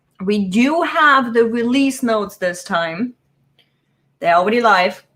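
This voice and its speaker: Talking at a fairly slow pace, a woman with a non-native accent uses a fairly high pitch and lively intonation. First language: not English. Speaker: business productivity youtuber. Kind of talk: live stream tutorial. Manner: casual, chatty.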